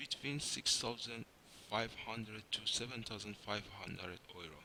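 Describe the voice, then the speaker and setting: Vocal fry colors a bright, sharp tone in a non-native accent. The pace is moderate, with ordinary pitch variation. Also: man. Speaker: software engineer, programming tutor. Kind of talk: tutorial.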